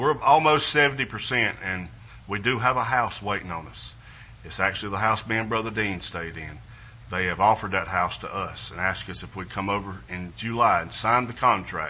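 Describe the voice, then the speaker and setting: A man's fairly low voice at a moderate pace, with ordinary pitch variation, big swings in loudness and audible room echo. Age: 50s. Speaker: missionary. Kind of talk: missionary presentation in church. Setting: church service with congregation. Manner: halting, repetitive, with fillers.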